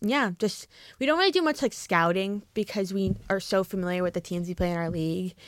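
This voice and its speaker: The recording is very clean with a silent background as a woman with a New Jersey accent talks fairly quickly at a medium pitch. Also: ordinary pitch variation. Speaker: college lacrosse player and club vice president. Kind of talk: casual chat.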